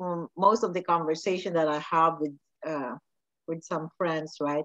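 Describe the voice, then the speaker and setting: A woman at a fairly low pitch and fairly slow pace against a quiet background. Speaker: podcast host. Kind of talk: interview host talk. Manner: enthusiastic, effusive. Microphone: video call.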